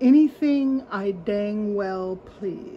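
The speaker uses a put-on character voice. Light background noise sits behind it. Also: woman, medium pitch for a woman. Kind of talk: casual vlog chat. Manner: sassy, defiant. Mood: wry, cheerful.

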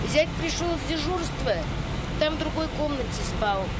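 Loud background noise surrounds a woman's voice, though the sound itself is dry with no echo. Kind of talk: interview answer. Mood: shaken, recounting rescue. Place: street. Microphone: handheld.

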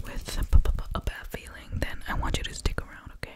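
A woman is whispering. Her pace is fairly slow. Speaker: ASMR creator. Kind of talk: soft guided relaxation talk. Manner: soft-spoken, close-mic ASMR voice. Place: home room.

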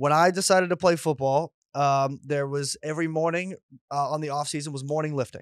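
Delivered at a fairly quick pace with fairly even intonation, a plain, everyday voice comes through in a very clean recording with a silent background and a dry, close sound with no echo. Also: man, fairly high pitch for a man. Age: 20s. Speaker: comedian podcast co-host. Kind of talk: casual chat.

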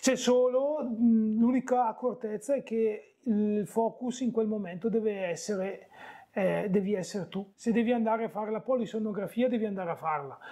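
Against a quiet background, a man speaks in a high pitch with a dark, mellow tone. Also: ordinary pitch variation, moderate pace. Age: 40s. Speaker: bariatric surgery patient; interviewee. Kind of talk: casual interview. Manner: hesitant, with many fillers. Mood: relaxed, positive. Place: home room. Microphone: lapel.

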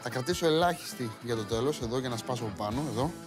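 A man talks at a moderate pace with clear music playing behind him. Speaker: TV cooking host. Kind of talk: tutorial. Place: studio.

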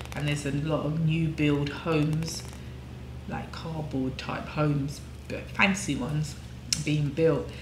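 Over noticeable background noise, a woman with an English accent talks at a fairly slow pace in a very deep, low pitch. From England. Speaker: devotional scripture reading host; co-host, scripture teacher. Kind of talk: reading aloud of scripture; casual discussion. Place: home room. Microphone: camera far.

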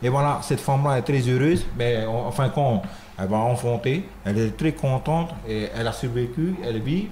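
A man's somewhat breathy voice has a dark, mellow tone and very even loudness, with light background noise behind it. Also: medium pitch for a man, ordinary pitch variation, moderate pace. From French Polynesia. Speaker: dance troupe leader; guest. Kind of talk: radio interview. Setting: radio studio. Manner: halting, many repetitions. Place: studio. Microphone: studio mic.

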